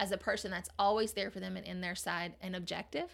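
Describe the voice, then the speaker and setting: This woman speaks at a medium pitch with ordinary pitch variation. Her voice has vocal fry. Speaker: therapist. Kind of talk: casual interview chat.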